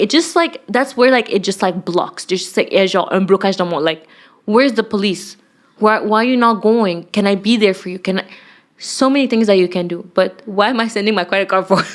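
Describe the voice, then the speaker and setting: In a very clean recording with a silent background, a woman with a French accent speaks in an animated tone at a fairly high pitch. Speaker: podcast co-host. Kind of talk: casual chat.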